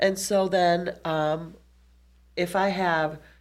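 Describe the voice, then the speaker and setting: A woman with a very deep, low voice and vocal fry is heard on a very clean recording with a silent background. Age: 40s. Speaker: nurse and podcast host. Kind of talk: interview.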